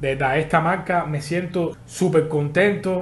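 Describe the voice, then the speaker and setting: Speaking at a very slow pace with a Cuban accent, a man uses a fairly high pitch and ordinary pitch variation, with audible room echo. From Havana, Cuba. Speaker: podcaster. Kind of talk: casual interview chat.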